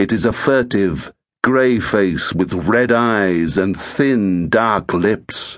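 A man speaks in a dramatic tone at a very slow pace, his pitch fairly low with ordinary variation. His loudness stays very even against a quiet background. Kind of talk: scripted narration. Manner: hushed, ominous storyteller's delivery, slow and suspenseful; dramatic, with pauses that build menace.

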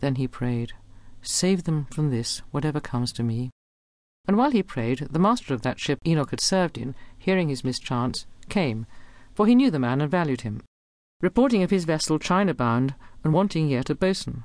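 Against a quiet background, a woman with a very deep, low voice speaks in very wide pitch swings. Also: moderate pace. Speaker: audiobook narrator. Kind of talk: unabridged audiobook reading of Victorian narrative verse. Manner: measured, storytelling cadence following the poem's blank-verse rhythm.

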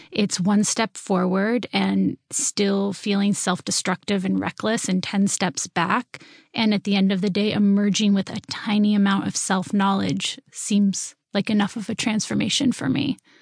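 A woman speaks at a medium pitch with fairly even intonation and a somewhat breathy quality, barely pausing, in a dry, close recording with no echo over a quiet background. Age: 30s. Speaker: novelist. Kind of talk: interview.

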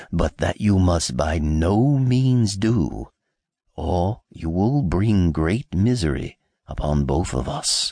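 The speaker uses a put-on character voice. Delivery is very slow. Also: man, very deep, low pitch for a man. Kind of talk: fairy tale audiobook acting. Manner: grave, warning.

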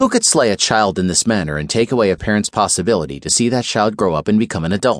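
Hardly pausing, a man speaks at a very fast pace. His fairly low voice carries lively intonation. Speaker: audiobook narrator. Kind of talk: scripted audiobook narration of a crime thriller, dramatic. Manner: grave, measured, suspenseful storytelling.

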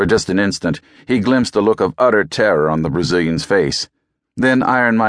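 The background stays quiet as an unforced reading voice moves with lively intonation.

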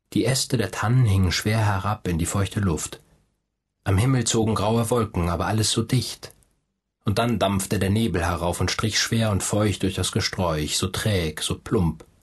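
A somewhat breathy man speaks at a fairly low pitch. His loudness is very even, with ordinary pitch variation. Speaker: audiobook narrator.

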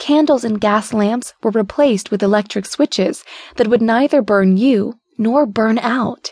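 A woman with a plain, everyday voice speaks at a fairly slow pace in a fairly high pitch with ordinary pitch variation. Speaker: audiobook narrator. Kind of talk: audiobook narration, reading a book's foreword aloud. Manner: even, measured, warm storytelling pace; clear, steady and formal-leaning, like a literary reading.

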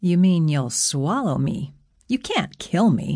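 A woman speaks slowly in a put-on character voice, fairly low-pitched and slightly mellow, with big pitch swings, on a very clean recording with a silent background.

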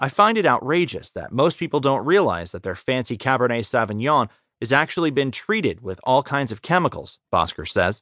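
Over a quiet background, a man's bright, sharp voice at medium pitch carries vocal fry and very wide pitch swings. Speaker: audiobook narrator. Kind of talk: audiobook narration of a magazine article, read aloud. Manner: even, measured, formal reading.

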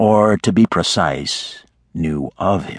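Lively intonation and vocal fry mark a man's voice, recorded with a dry, close sound and no echo. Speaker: audiobook narrator. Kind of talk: dramatic audiobook narration, reading romance fiction aloud. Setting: studio. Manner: gruff, grumbling voice for the storekeeper's lines.

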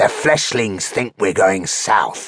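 In a put-on character voice, a man growls slowly, fairly low and gravelly, with lively intonation. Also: fairly bright tone.

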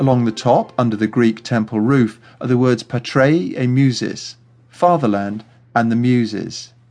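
Using a normal speaking voice, a man talks at a medium pitch and a fairly slow pace with fairly even intonation. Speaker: audio tour guide narrator. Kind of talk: scripted audio walking-tour narration, history facts then directions. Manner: clear, measured, explanatory pacing.

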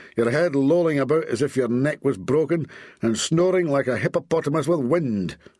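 A man uses a put-on, growling character voice at a fairly high pitch with very wide pitch swings. His pace is moderate, against a quiet background. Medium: read story. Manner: snarling, scornful, exasperated.

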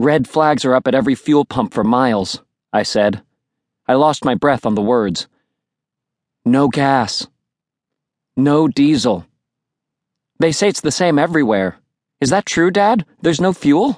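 With an animated tone and very wide pitch swings, the speaker goes at a fairly slow pace with long, frequent pauses, very even loudness, and a dry, close sound with no echo over a quiet background. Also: man, fairly high pitch for a man. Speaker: audiobook narrator. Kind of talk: dramatic audiobook narration, first-person teen voice with character dialogue. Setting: studio. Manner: animated, expressive, shifting into dad and sibling voices.

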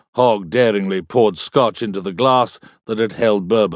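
With a British accent, a man speaks at a moderate pace, his pitch fairly low with ordinary variation. The background stays quiet. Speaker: audiobook narrator. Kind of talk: audiobook narration, dramatic reading of fiction with character voices. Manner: theatrical, wry, animated.

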